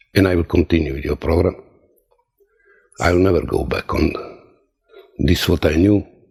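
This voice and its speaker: Speaking with a very deep, low pitch, a man keeps a moderate pace and fairly even intonation, with long, frequent pauses. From Croatia. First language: Croatian. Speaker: testimonial giver, former sailor. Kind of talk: testimony. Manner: halting.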